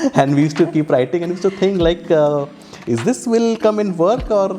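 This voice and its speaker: A man speaks fairly quickly in a high voice with ordinary pitch variation. Noticeable background noise can be heard. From eastern India, small town near Kolkata. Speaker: cruise hospitality professional. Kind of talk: interview. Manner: halting, many false starts.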